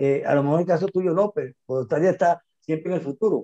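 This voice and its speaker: In a dry, close sound with no echo, a man speaks at a moderate pace in a high voice with a dark, mellow tone and lively intonation. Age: 60s. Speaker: immigration consultant. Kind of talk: interview conversation.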